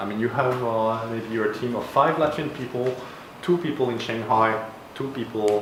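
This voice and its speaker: A man with a French accent speaks at medium pitch with ordinary pitch variation, amid audible room echo and noticeable background noise. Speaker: university design program head. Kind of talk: Q&A at a meetup.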